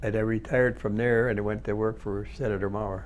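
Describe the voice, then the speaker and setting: This man's voice has vocal fry. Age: 80s+. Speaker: retired factory worker and union representative. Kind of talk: oral history interview. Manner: halting, many repetitions and false starts.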